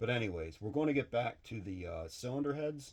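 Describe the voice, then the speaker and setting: A man speaks at a very fast pace with lively intonation. His voice is somewhat breathy. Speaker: machinist / engine builder YouTuber. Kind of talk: casual workshop vlog talk. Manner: halting.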